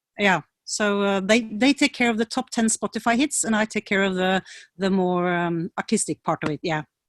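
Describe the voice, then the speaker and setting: At a moderate pace, a woman with a Norwegian accent speaks at medium pitch with ordinary pitch variation, the sound dry and close with no echo against a quiet background. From Norway, rural valley between Oslo and Bergen. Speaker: PR consultant and music coach. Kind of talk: interview.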